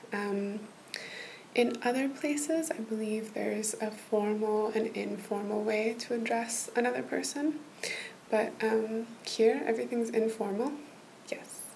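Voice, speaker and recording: A woman talks very slowly, her pitch shifting in an ordinary way, while light noise sits behind her. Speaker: role-play language tutor. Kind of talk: soft-spoken role-play tutoring. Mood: gentle, reassuring. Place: home room. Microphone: webcam.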